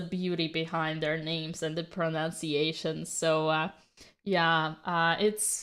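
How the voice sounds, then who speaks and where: Fairly slow speech with a non-native accent in a very clean recording, silent in the background. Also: woman. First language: not English. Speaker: chess commentator. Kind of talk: live commentary.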